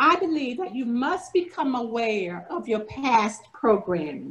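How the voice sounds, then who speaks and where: A high-pitched woman with an American accent, very wide pitch swings, and a fairly slow pace. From US South, rural north Florida. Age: 70s. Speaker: workshop presenter. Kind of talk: virtual class presentation.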